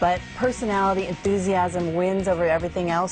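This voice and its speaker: Music plays in the background behind an upbeat tone. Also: woman. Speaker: TV host. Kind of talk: TV show hosting to camera.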